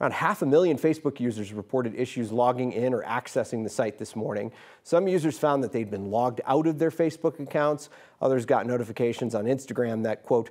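The speaker moves at a fairly quick pace with ordinary pitch variation against a quiet background. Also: man. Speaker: news anchor. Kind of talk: news reading. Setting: TV studio. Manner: formal, brisk, even-paced. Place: studio. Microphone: lapel.

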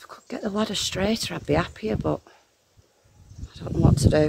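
Loud noise fills the background while a woman rattles off her words very fast. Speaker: smallholder vlogger. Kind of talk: casual vlog chat. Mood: slightly worried about ladder. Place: garden. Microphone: phone near.

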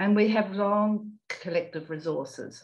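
A woman speaks with a New Zealand accent over a quiet background. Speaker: climate psychology presenter; panel respondent. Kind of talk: prepared reflection. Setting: video call. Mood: calm, reflective. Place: home room. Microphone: video call.

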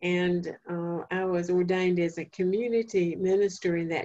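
At a fairly slow pace, a woman with a North Carolina accent speaks with a fairly low pitch, a dark, mellow tone and monotone, flat intonation. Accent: Southern US (North Carolina). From eastern North Carolina, Duplin County. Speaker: family therapist and speaker; presenter. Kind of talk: lecture; lecture / talk answer. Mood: calm, reflective. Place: home room. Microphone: video call.

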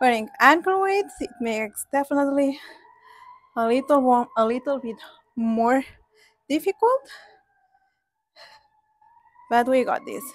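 In a quiet background, a woman speaks fairly slowly with a high pitch and lively intonation. Long, frequent pauses break up her speech, and the sound is dry with no echo. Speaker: fitness instructor. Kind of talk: workout instruction. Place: garden.

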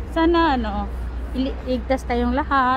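Crowd noise fills the background as a woman speaks at a very slow pace. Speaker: vlogger. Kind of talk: travel vlog narration. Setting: outdoors.

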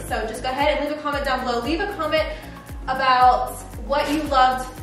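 Clear music plays behind a woman with a high voice and fairly even intonation. She speaks very fast amid audible room echo. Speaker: home renovation vlogger. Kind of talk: casual vlog chat. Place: kitchen.

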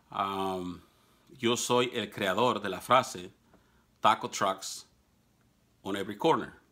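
Speaking at a very slow pace with long, frequent pauses, a man with a fairly low pitch has a bright, sharp tone and ordinary pitch variation against a quiet background. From Mexico. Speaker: political commentator. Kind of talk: monologue to camera; casual vlog commentary in Spanish. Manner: hesitant, many fillers. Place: office. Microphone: phone near.

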